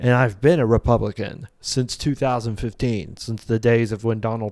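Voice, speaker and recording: A man with an American accent and an ordinary speaking voice talks at a moderate pace and medium pitch, recorded very cleanly against a silent background. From Indiana (Vincennes). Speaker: podcast host. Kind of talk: casual political commentary.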